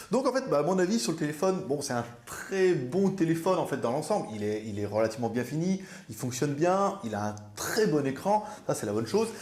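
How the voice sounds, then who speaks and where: Over noticeable background noise and audible room echo, a man talks at a fairly quick pace. His pitch is fairly high and swings very wide. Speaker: viewer reviewer. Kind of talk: product review.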